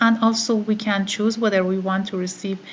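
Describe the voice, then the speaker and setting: A woman speaks at a medium pitch with an Iranian accent. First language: Farsi. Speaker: online course participant. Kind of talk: screen-recorded tutorial. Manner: halting, many fillers.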